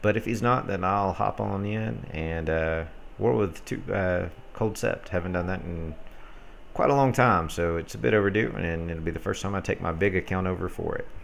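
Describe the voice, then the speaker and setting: Ordinary pitch variation and a moderate pace, with an Alabama accent. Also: man, very deep, low pitch for a man. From US South, North Alabama near Gadsden. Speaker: gaming streamer and clan leader. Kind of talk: live game commentary and chat.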